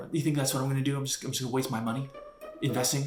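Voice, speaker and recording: A man is shouting at a fairly high pitch. Music plays in the background. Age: 20s. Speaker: comedy YouTuber. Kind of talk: comedic rant. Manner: loud, shouting; animated.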